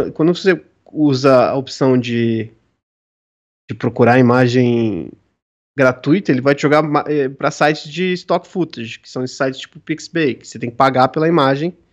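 A man's lively intonation comes through at a moderate pace, the background quiet. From São Paulo, Brazil. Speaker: tabletop RPG designer. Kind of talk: casual chat.

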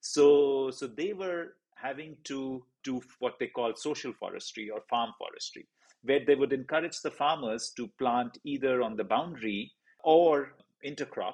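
Ordinary pitch variation marks this speech, delivered at a fairly slow pace. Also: man, fairly high pitch for a man. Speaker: podcast host. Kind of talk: interview, casual chat. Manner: excitable, gushing.

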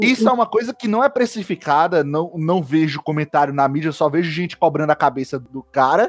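With hardly any pauses, a man talks at a fairly quick pace in a normal speaking voice, fairly high in pitch with lively intonation. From Brazil, Ceará (Fortaleza). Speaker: podcast host, geography undergraduate. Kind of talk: casual discussion podcast.

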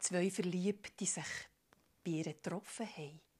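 The fairly slow speech comes with a Swiss accent in a very clean recording with a silent background. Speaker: storyteller. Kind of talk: improvised storytelling. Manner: animated.

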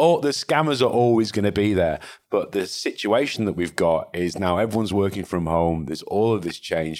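In a Mancunian accent, a man talks at a moderate pace with ordinary pitch variation. The recording is very clean, with a silent background. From northern England, Salford/Manchester. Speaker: cybersecurity company founder and CEO. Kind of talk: interview conversation. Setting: in-person recording, same room.

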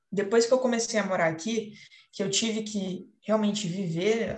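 This woman keeps her intonation fairly even while talking at a moderate pace. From São Paulo state, Paraíba Valley (Caçapava). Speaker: architecture student. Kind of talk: student podcast presentation. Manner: hesitant, many fillers.

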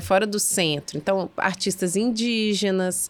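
A plain, everyday voice talks at a fairly slow pace. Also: woman. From Belo Horizonte, Minas Gerais. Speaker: arts festival co-founder. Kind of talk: casual chat.

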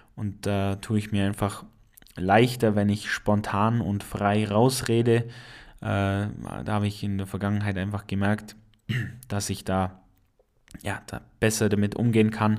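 An Allgäu accent at a very slow pace, monotone and flat, with long, frequent pauses and a very clean recording with a silent background. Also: man. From Allgäu, Bavaria. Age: 20s. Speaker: podcaster and industrial mechanic. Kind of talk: casual monologue.

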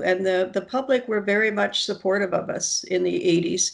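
With a Canadian accent, a woman speaks at a moderate pace in a medium pitch with fairly even intonation. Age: 60s. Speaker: nursing professor. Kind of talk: interview. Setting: video call. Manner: halting.

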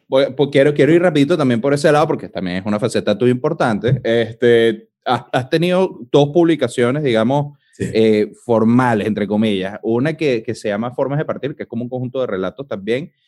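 With a Venezuelan accent, a man talks at a fairly quick pace with ordinary pitch variation and hardly any pauses. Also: medium pitch for a man. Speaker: podcast host. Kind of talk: casual chat.

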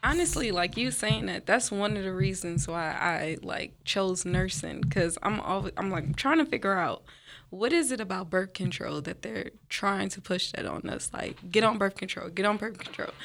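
Speaking at a moderate pace with lively intonation and vocal fry, a woman with a medium pitch comes through on a very clean recording against a silent background. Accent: American. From New Orleans. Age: 20s. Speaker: nursing student. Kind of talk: casual chat.

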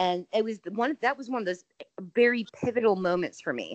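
Speaking at a moderate pace with an American accent, a woman has an unremarkable speaking voice at medium pitch with ordinary pitch variation, recorded dry and close with no echo. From Indiana. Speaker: horror podcast host. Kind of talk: casual chat.

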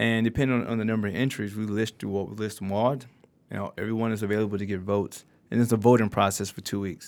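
A man's fairly low voice at a very fast pace, monotone and flat, with hardly any pauses. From Detroit, Michigan. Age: 30s. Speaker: nonprofit founder. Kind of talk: casual interview.

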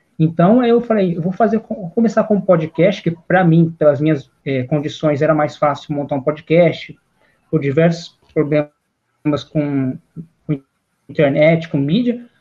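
Speaking fairly slowly, a man has a fairly high pitch, a dark, mellow tone and ordinary pitch variation. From interior of São Paulo state, Brazil. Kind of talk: interview answers. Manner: hesitant, repeating words.

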